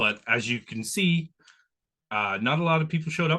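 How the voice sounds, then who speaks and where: Over a quiet background, a man with a fairly high pitch speaks in a bright, sharp tone with lively intonation. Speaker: podcast host. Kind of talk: interview.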